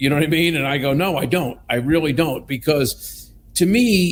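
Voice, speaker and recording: A man with an American accent talks at a fairly quick clip, his voice somewhat breathy and his pitch varying in an ordinary way. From US, southwestern Pennsylvania. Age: 60s. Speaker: company executive. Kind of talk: casual chat.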